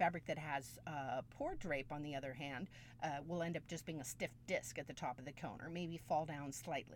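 This woman's voice is very deep and low. Vocal fry runs through it. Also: moderate pace. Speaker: textiles professor and podcast host. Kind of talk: lecture. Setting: walk-in closet home studio. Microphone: budget USB studio microphone.

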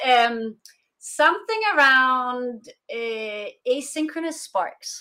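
A woman's high, raised and projected voice, bright and sharp in tone, with lively intonation, on a very clean recording over a silent background. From Denmark. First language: Danish. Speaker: consultant for international remote teams. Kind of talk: interview.

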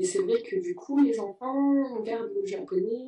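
Dark, mellow tone with very wide pitch swings at a fairly slow pace. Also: woman. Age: 20s. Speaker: French teacher. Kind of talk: interview. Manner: halting.

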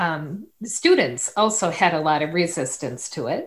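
With an unremarkable speaking voice, a woman talks at a fairly slow pace using lively intonation. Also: very clean recording, silent background. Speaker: radio host. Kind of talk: interview. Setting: studio.

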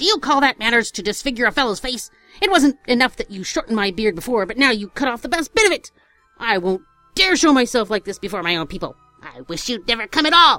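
Shrill and angry, a woman in a put-on character voice shouts in a raised, projected voice at a very fast pace and fairly high pitch, with faint music in the background. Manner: angry, scolding, shrill.

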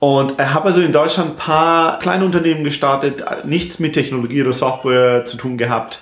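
A man speaks with ordinary pitch variation. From southern Germany, near Stuttgart. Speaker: software entrepreneur. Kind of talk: interview. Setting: recording in Barcelona. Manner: halting, many fillers; mixes English words into German.

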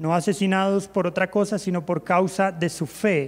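A man's high voice, very slow in pace, with fairly even intonation. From Colombia, Bogotá. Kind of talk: church talk.

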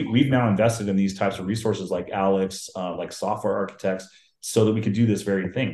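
In an American accent, a man with a fairly low pitch and a plain, everyday voice talks at a fairly quick pace with fairly even intonation. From US Pacific Northwest, Seattle. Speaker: IT business development and engineering lead. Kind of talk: casual interview.

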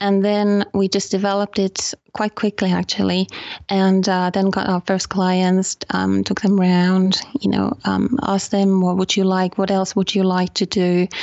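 A woman's medium-pitched voice in a Finnish accent, at a moderate pace, with monotone, flat intonation. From Finland. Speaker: photography tour operator. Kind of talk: interview. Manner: hesitant, many ums.

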